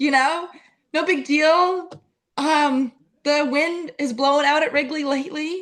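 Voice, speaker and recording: The woman's voice is high and her loudness very even. She talks at a fairly slow pace. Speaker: sports content creator. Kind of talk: casual chat. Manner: animated.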